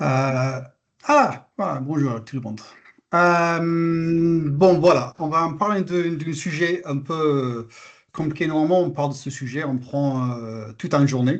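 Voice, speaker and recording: Very slowly, a man with an English accent speaks at a fairly high pitch with ordinary pitch variation. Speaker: health terminology expert presenter. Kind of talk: webinar presentation. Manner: hesitant, many filler sounds.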